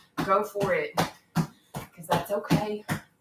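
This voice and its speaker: Music plays in the background as someone talks with an American accent. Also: woman. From Kentucky. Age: 30s. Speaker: online fitness instructor. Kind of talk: live-streamed workout coaching. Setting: live stream at home. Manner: encouraging, upbeat.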